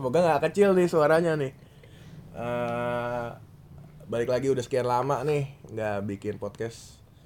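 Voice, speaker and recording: A man of medium pitch at a fairly slow pace, with ordinary pitch variation. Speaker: podcast host. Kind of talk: casual chat.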